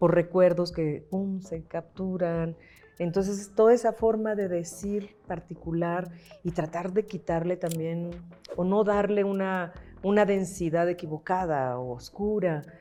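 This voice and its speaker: A woman talks at a fairly slow pace in a dark, mellow tone. Her pitch is fairly low, and her intonation stays fairly even. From Mexico, La Paz, Baja California Sur. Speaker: actress. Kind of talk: interview conversation.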